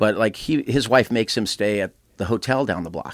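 A man of medium pitch speaks with an American accent on a very clean recording with a silent background. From Southern California. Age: 50s. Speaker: concert tour founder. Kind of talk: casual interview. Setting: studio. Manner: halting, many fillers and restarts.

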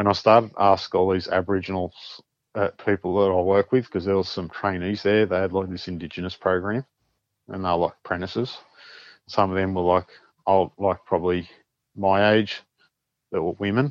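In an Australian accent, a man with a very deep, low pitch talks at a fairly quick pace with long, frequent pauses and monotone, flat intonation, the background quiet and the sound dry and close with no echo. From New South Wales, Australia. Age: 40s. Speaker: paranormal experiencer. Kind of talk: casual interview storytelling.

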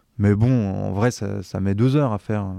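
With fairly even intonation, a man speaks in a dark, mellow tone against a quiet background, the sound dry and close with no echo. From French mountain region. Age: 30s. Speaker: comedian and writer. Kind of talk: casual chat.

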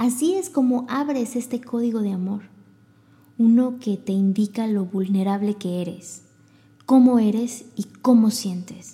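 In a Mexican accent, a woman speaks at a fairly slow pace with a fairly high pitch, ordinary pitch variation, a dark, mellow tone and a somewhat breathy quality. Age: 30s. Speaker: podcast host. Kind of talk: self-help monologue. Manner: animated.

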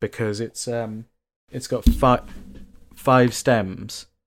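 On a very clean recording with a silent background, a man speaks at a medium pitch with a southern English accent. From England, Bath. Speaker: actor and comedian. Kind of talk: casual chat.

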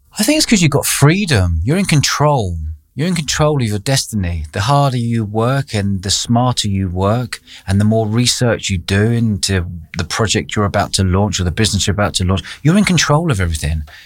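A man with a London accent speaks at a fairly quick pace. His fairly low pitch makes very wide swings. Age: 40s. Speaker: entrepreneur. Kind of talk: interview. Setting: studio.

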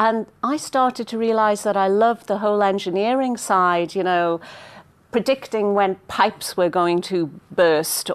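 A woman speaks at a fairly slow pace in a northeast English accent. Her pitch is medium, with ordinary variation. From northeast England, mining village. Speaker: business executive. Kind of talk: interview.

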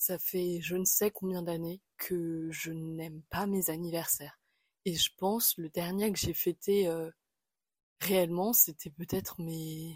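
Over a silent background in a very clean recording, a woman talks at a fairly slow pace. Her pitch is fairly low and her intonation monotone and flat. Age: 20s. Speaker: podcast host. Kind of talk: casual monologue. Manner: hesitant, with many fillers.

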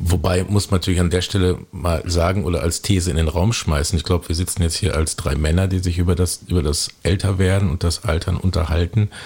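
With hardly any pauses, a man talks at a fairly quick pace in a very deep, low pitch, keeping his intonation fairly even and his loudness very even. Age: 40s. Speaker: podcast host. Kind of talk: casual chat.

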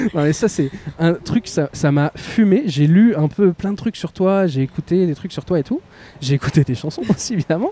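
A man with a high pitch speaks at a moderate pace in an animated tone with lively intonation, the sound dry and close with no echo, over noticeable background noise. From Beauvais, northern France. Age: 30s. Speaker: podcast host. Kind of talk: casual chat. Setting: outdoors.

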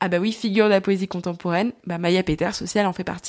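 The recording is very clean, with a silent background. A woman at a medium pitch speaks very fast in a flat monotone. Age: 20s. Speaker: podcaster and young author. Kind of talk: solo podcast monologue. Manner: hesitant, many fillers.

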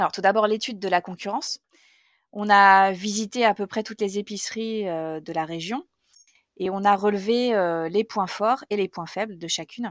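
A woman at medium pitch, with fairly even intonation and a moderate pace. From Normandy, France. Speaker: eco grocery store co-owner. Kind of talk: testimony. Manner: hesitant, many fillers.

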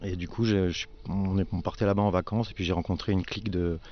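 A man's very deep, low voice, fairly quick and monotone with flat intonation. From Alsace. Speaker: winemaker. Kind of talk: casual chat. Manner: halting, repeats words.

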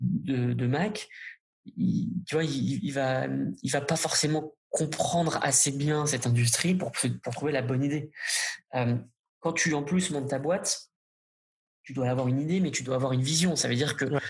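The man's voice is somewhat breathy. He talks fairly slowly. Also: fairly high pitch for a man, ordinary pitch variation. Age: 30s. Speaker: startup founder and CEO. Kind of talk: interview.

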